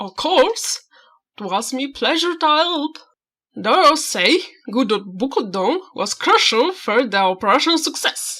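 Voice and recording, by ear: Putting on a character voice, a woman speaks at a fairly slow pace at a high pitch with very wide pitch swings.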